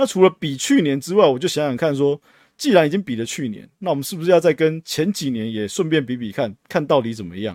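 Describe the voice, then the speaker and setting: Speaking very fast with lively intonation and big swings in loudness, a man with a fairly high pitch is heard in a very clean recording with a silent background and a dry, close sound with no echo. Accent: Taiwanese. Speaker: podcast host, retail investor. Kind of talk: solo podcast monologue. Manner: casual, frequent filler particles.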